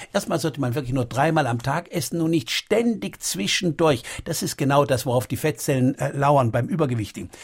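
A man speaks at a fairly quick pace with a fairly high pitch and lively intonation. His voice is somewhat breathy, with hardly any pauses. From Baden, southwest Germany. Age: 60s. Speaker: doctor and author. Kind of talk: radio interview.

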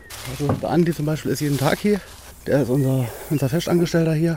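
A man speaks over noticeable background noise. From Saarland, Germany. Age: 30s. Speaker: wildlife park club volunteer. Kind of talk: interview.

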